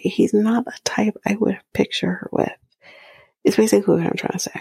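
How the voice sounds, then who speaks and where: A woman is speaking. She whispers. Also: dry, close sound with no echo. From Canada. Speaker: podcast host. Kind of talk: casual recap commentary.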